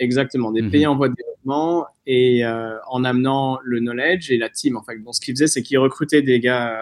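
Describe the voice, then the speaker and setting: A man talks in a normal speaking voice at medium pitch. His intonation is fairly even, with hardly any pauses. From southern France, near Nice. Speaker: startup founder and investor. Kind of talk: interview.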